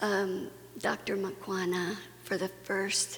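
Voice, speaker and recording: Fairly even intonation from a woman at medium pitch, amid noticeable background noise. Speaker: conference speaker. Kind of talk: personal testimony talk.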